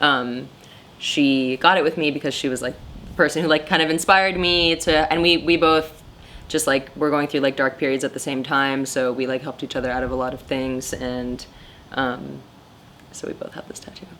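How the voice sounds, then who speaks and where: The speaker is loud, keeping a moderate pace and fairly even intonation. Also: woman, very deep, low pitch for a woman. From Costa Rica. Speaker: photographer. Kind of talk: interview. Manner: casual, halting with fillers.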